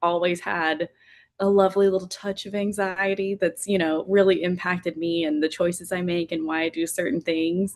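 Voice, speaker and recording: With an American accent, this woman is talking. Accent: Southern US, still present but less thick. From Tennessee. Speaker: on-camera reporter. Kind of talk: interview.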